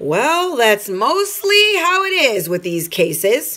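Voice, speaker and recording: Using a put-on character voice, a woman speaks high and at a fairly slow pace, with very wide pitch swings. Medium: read story. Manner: matter-of-fact.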